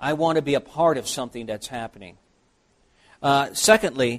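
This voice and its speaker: Fairly quick and lively in intonation, a man speaks at a fairly high pitch. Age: 60s. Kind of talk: workshop lecture. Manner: halting.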